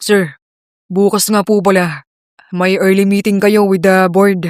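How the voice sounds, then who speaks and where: Using a put-on character voice, a man speaks fairly slowly at a high pitch, sounding strained, with monotone, flat intonation and very even loudness. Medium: read story. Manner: calm, restrained.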